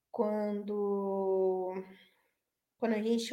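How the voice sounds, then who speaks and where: A woman is speaking. Her tone is dark and mellow. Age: 30s. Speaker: web radio host. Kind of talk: casual chat. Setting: online radio livestream.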